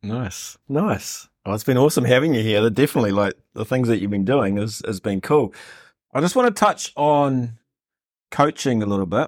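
In a very clean recording with a silent background, a man speaks in a New Zealand accent, the sound dry and close with no echo. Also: medium pitch for a man, ordinary pitch variation, moderate pace. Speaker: podcast host. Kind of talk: interview.

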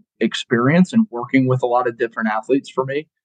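Recorded dry and close with no echo, a man with an American accent has an ordinary speaking voice at a medium pitch with ordinary pitch variation. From Colorado. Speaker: college football strength coach. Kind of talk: casual chat.

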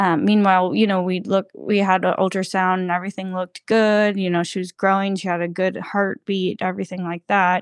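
A woman with an American accent speaks at a fairly quick pace with hardly any pauses, her medium-pitched voice flat and monotone, on a very clean recording with a silent background and a dry, close sound with no echo. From Georgia, US South. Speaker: interview guest sharing pregnancy loss. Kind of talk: personal testimony in interview.

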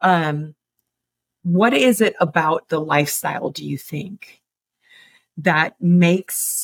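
A woman speaks very slowly with an American accent, her fairly low pitch and somewhat breathy voice showing ordinary pitch variation. The sound is dry and close, with no echo. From Chicago. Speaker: fitness coach and podcast co-host. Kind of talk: casual interview.

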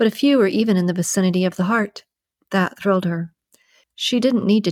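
The background stays quiet while an unforced reading voice speaks.

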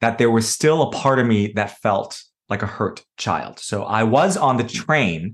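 Someone speaks in an American accent with a plain, everyday voice. The pace is fairly slow and the intonation lively. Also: man, medium pitch for a man. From US, New York City. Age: 30s. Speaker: energy healer and yoga retreat leader. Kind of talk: podcast interview.

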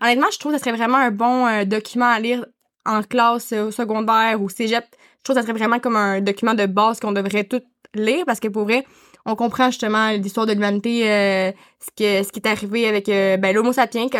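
A woman's fairly high-pitched voice with a Quebec accent at a fairly quick pace. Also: fairly even intonation. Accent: Québécois French. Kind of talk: casual chat. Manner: halting.

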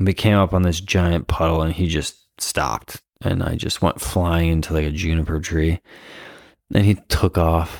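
A man's very deep, low voice with an American accent, fairly even intonation, and a moderate pace, on a very clean recording with a silent background and a dry, close sound with no echo. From US Midwest, Iowa. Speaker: dog walker and trainer. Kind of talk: casual chat. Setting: at home.

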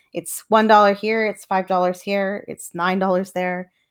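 A woman speaks in an ordinary speaking voice with a Canadian accent, at a medium pitch and a moderate pace. The recording is very clean with a silent background. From Canada. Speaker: podcast host and reseller. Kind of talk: solo podcast monologue. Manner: casual, informal.

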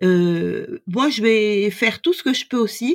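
A woman talks at a fairly slow pace in a plain, everyday voice. Her intonation is lively. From France. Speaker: doula. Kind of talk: interview.

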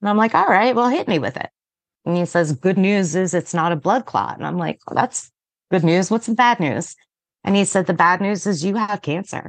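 A woman has a plain, everyday voice with medium pitch and ordinary pitch variation. She speaks at a moderate pace in a dry, close sound with no echo. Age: 40s. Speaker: cancer patient and former CrossFit athlete. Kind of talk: casual interview. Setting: podcast interview.

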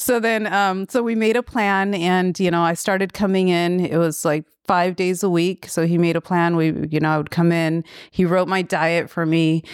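Recorded very cleanly against a silent background, a woman with an American accent talks at a moderate pace with fairly even intonation. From US West Coast, Bay Area, California. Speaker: clinical psychologist and amateur bodybuilder. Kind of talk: interview.

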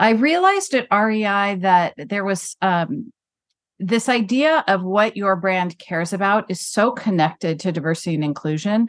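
Her voice is an unremarkable speaking voice, a woman at medium pitch who keeps a moderate pace with lively intonation. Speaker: brand consultant. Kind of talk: casual interview.

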